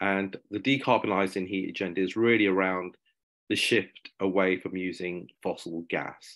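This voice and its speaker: The background is quiet. A man speaks fairly slowly at a fairly low pitch. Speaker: webinar presenter. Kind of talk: presentation talk. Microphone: video call.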